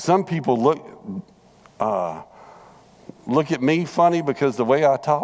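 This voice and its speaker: Speaking with a Southern US accent, a man uses lively intonation. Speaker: Bible class teacher. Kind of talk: Bible study lesson. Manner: conversational, repetitive.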